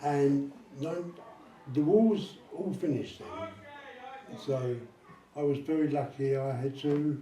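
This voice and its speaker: Over noticeable background noise and audible room echo, a man talks at a very slow pace and a fairly high pitch with ordinary pitch variation. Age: 70s. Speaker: army veteran. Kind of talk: interview with school pupils. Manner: chatty.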